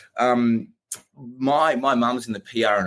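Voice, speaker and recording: A man speaks at a fairly slow pace in an Australian accent. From Australia, Melbourne. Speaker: company founder. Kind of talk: podcast interview. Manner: many fillers and repetitions.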